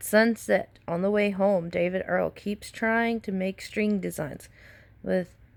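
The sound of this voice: This is an unforced reading voice. It reads aloud.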